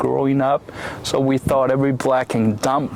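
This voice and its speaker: A man talks at a medium pitch. Noticeable background noise runs under his voice. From Taiwan. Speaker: immigrant interviewee. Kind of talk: casual interview. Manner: halting, many fillers.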